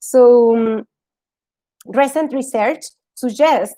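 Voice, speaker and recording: A woman with a Spanish accent speaks at a fairly slow pace. Her pitch varies in an ordinary way, and the sound is dry and close with no echo. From Argentina. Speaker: yoga teacher. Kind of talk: talk to an audience. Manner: halting.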